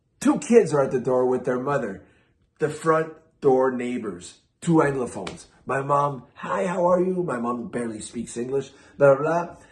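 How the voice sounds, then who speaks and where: The man's voice is somewhat breathy. He talks fairly slowly, and his pitch varies in an ordinary way. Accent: Quebec. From Quebec, Canada (Quebec City, then Toronto from age eight). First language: French. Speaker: vinyl collector YouTuber. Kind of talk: casual vlog storytelling.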